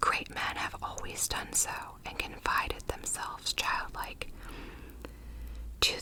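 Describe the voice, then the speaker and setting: The speaker whispers at a fairly slow pace. Noticeable background noise is present. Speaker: ASMR content creator. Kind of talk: literary text reading. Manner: whispered, soft.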